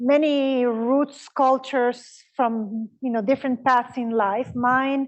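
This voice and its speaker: A woman's high voice in an Italian accent, very slow and monotone, with flat intonation and hardly any pauses. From Honduras. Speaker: professor. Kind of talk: lecture interview.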